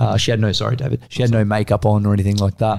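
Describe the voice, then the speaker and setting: A man speaks at a very fast pace. He talks with an Australian accent. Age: 20s. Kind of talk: casual chat.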